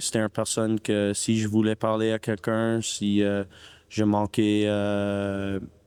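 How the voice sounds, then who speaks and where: A man at a very slow pace, fairly low pitch and monotone, flat intonation. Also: dry, close sound with no echo. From Canada, Ottawa, Ontario. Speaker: ice hockey player. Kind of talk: interview. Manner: halting, many hesitations.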